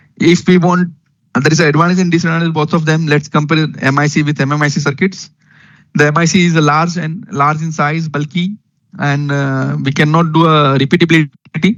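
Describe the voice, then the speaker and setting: The man's voice is fairly high in pitch. He talks at a fairly quick pace with fairly even intonation. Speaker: engineering lecturer. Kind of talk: lecture. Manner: fast.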